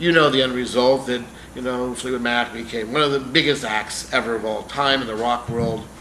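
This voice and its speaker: Noticeable background noise and audible room echo surround a man talking at a fairly quick pace with a medium pitch and fairly even intonation. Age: 60s. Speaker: celebrity manager and vlogger. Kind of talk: casual vlog announcements. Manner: casual, occasional filler words.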